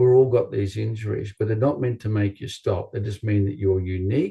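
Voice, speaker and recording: Against a quiet background, a man with an Australian accent speaks in a fairly low pitch, his tone dark, mellow and somewhat breathy, with ordinary pitch variation. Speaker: chiropractor. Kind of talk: interview.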